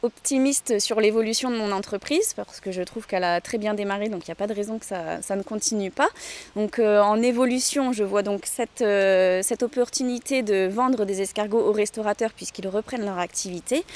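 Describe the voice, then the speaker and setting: A woman talks at a moderate pace with fairly high pitch, ordinary pitch variation and hardly any pauses, in a dry, close sound with no echo. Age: 30s. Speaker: snail farmer. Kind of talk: interview testimony. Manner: hesitant, many filler sounds.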